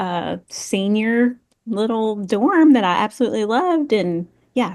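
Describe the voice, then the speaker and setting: Against a quiet background, a woman speaks. She has a Tennessee accent. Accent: Southern US (Tennessee). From West Tennessee (Paris). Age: 40s. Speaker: tourism executive. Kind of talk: podcast interview.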